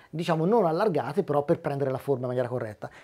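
Talking at a very fast pace, a man uses a fairly high pitch with ordinary pitch variation. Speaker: motorcycle helmet technician. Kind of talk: interview. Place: shop. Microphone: lapel.

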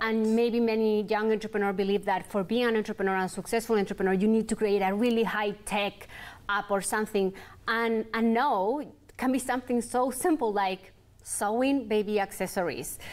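A woman's fairly high voice at a fairly quick pace, with very even loudness and fairly even intonation. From Chile. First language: Spanish. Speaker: entrepreneur, clothing brand founder; guest. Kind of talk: interview. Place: studio.

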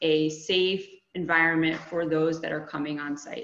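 Through audible room echo, a woman with a fairly low pitch speaks at a fairly slow pace with fairly even intonation. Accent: American. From Connecticut. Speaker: HR and staffing business owner. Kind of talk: webinar presentation. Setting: video call.

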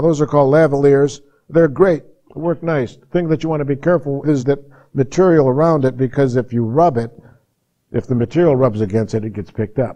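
Against a quiet background, a man with a dark, mellow tone talks at a fairly quick pace with lively intonation. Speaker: audio recording instructor. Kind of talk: lecture. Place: classroom. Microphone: lapel.

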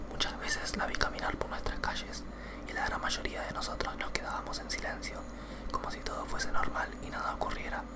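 A man is whispering. He keeps a moderate pace. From Argentina. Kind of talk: ASMR creepypasta reading, whispered ear to ear. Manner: whispered, soft. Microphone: studio mic.

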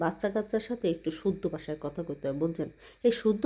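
Woman with a Bangladeshi accent, dark, mellow tone and ordinary pitch variation. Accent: Bangladeshi regional dialect. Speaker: vlogger. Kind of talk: casual vlog monologue. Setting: bathroom.

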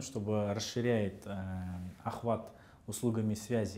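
A man's dark, mellow tone at a fairly slow pace, with fairly even intonation. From Kazakhstan. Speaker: head of a state housing and utilities agency; interview guest. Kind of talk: interview. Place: studio. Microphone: lapel.

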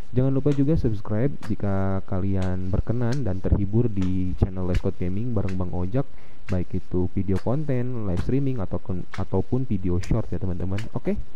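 A man with fairly low pitch and ordinary pitch variation at a fairly quick pace, hardly any pauses, very even loudness, audible room echo and noticeable background noise. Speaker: gaming streamer. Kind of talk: gameplay commentary. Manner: casual, animated.

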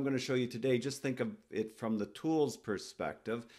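A man is speaking at a medium pitch. His pitch varies in an ordinary way.

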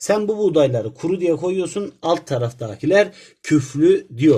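A man speaks at a fairly slow pace in a high voice, his intonation lively. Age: young. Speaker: teacher. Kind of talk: tutorial.

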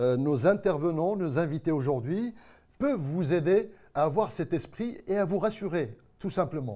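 In a Marrakech accent, a man speaks at a fairly slow pace with a high pitch, very wide pitch swings and a dark, mellow tone against a quiet background. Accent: Moroccan (Marrakech). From Morocco. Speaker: TV show host. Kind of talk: live web TV magazine hosting. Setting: TV studio set. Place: studio.

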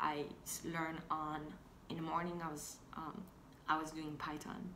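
A woman with a non-native accent speaks at a fairly slow pace in a very deep, low voice with monotone, flat intonation. Audible room echo and light background noise are present. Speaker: fashion and tech blogger. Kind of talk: casual talk to camera. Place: home room. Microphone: phone near.

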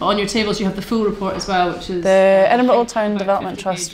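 A woman's medium-pitched voice over light background noise. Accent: Scottish. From Scotland. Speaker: community worker. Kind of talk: interview. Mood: frustrated, reflective.

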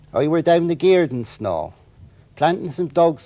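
A man with a West Country accent and a dark, mellow tone, at a fairly slow pace, in a dry sound with no echo. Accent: West Country (Wessex). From Wiltshire, England. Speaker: author. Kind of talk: dialect reading. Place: studio.

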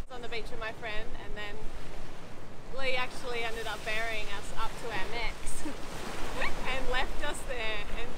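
The sound is dry with no echo, yet loud background noise runs under speech delivered at a fairly slow pace. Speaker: sailing vlogger. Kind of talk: casual vlog chat. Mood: warm, laughing often. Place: beach.

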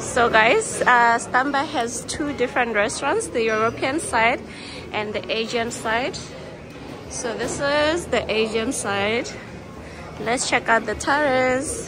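Against clear music in the background, a woman talks at a very slow pace, with a high pitch and ordinary pitch variation. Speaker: travel vlogger. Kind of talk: casual vlog chat. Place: cafe. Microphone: phone near.

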